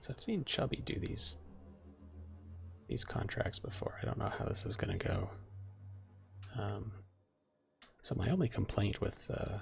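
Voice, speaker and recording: Soft-spoken, a man talks with long pauses that come often. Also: moderate pace. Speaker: game streamer. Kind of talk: casual live-stream chat. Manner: quiet, soft-spoken; halting, many fillers and repeats.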